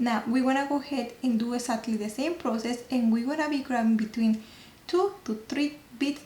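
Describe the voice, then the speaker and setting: The speaker talks with a non-native accent and ordinary pitch variation. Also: woman. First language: not English. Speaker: nail technician. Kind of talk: tutorial. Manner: halting.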